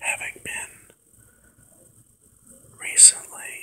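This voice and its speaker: The voice is whispering at a very slow pace. Noticeable background noise is present. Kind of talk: ASMR personal reflection talk. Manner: whispered.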